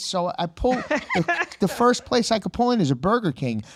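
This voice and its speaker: A man speaks in an animated tone with noticeable background noise behind him. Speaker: comedian. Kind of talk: casual chat.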